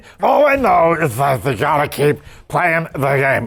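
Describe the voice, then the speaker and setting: At a moderate pace, a man puts on a character voice that is raspy and fairly high. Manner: slurred.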